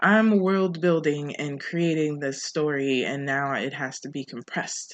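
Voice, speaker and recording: A quiet background frames speech delivered at a fairly slow pace. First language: not English. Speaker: podcast host. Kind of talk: casual monologue.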